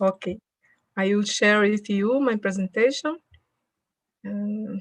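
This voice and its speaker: A woman at a very slow pace, ordinary pitch variation, and a dry, close sound with no echo. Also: medium pitch for a woman. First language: Portuguese (speaking Spanish). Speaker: public health researcher. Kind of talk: conference lecture. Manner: halting.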